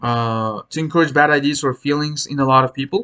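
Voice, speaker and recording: With a non-native accent, a man talks at a moderate pace in a fairly high pitch with ordinary pitch variation and a bright, sharp tone, recorded with a dry, close sound and no echo. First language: not English. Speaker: English exam teacher. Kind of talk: tutorial. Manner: hesitant, many fillers.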